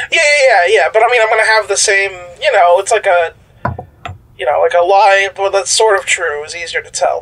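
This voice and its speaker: Against noticeable background noise, a man with a high pitch speaks at a moderate pace, showing ordinary pitch variation and big swings in loudness. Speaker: player in role-playing game. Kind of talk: casual tabletop RPG chat.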